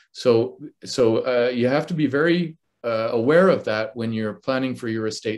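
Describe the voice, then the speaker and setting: In an ordinary speaking voice, a man talks at a moderate pace with ordinary pitch variation. The background is quiet. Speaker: financial advisor. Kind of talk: webinar presentation.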